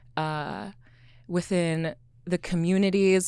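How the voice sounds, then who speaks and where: A woman with fairly even intonation on a very clean recording against a silent background. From Seattle, US Pacific Northwest. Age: 20s. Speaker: fashion entrepreneur. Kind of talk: interview.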